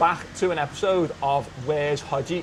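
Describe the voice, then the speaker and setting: A man with a Liverpool accent, fairly high pitch and fairly even intonation, amid noticeable background noise. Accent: Scouse (Liverpool). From England, Liverpool. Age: 20s. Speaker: podcast host, former teacher. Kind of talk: casual chat. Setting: in an office.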